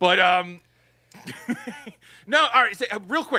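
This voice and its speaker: The voice is raised and projected, bright and sharp in tone, with very wide pitch swings and a dry, close sound with no echo. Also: man. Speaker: podcast co-host. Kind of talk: casual chat.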